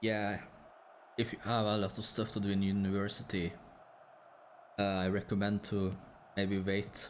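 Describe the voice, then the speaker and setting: With a Norwegian accent, a man speaks in a relaxed tone at a fairly low pitch and a moderate pace. His intonation is monotone and flat, his loudness very even, and he takes long, frequent pauses. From Norway. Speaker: gaming streamer. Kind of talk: casual live-stream chat. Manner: low energy, relaxed.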